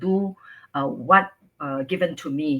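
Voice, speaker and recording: A woman with a Singaporean accent speaks at a fairly slow pace. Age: 60s. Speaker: businesswoman and grandmother. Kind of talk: interview.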